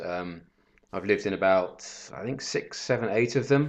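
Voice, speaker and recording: Against a quiet background, a man with a southern English accent speaks at a moderate pace. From southern England. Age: 30s. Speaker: professional bettor. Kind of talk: casual interview.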